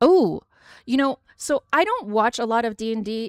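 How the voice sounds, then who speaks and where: Here is a woman with an American accent. The recording is very clean and silent in the background, with a dry, close sound and no echo. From US, Western New York. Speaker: streamer. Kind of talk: casual chat. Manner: fast; animated.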